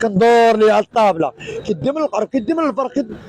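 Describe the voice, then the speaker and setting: Over noticeable background noise, a man talks at a very fast pace with a high pitch. His tone is animated. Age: 40s. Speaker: fish wholesaler. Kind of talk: street interview. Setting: wholesale fish market.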